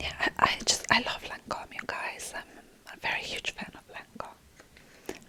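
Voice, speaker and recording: Background noise is noticeable throughout. Over it, a woman whispers, fairly slowly. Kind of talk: ASMR whispering product review. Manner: whispered, soft.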